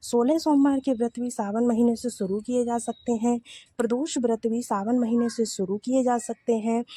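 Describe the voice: A woman speaks at a moderate pace with a fairly high pitch. Her tone is dark and mellow with a slightly husky edge, and the sound is dry and close, with no echo.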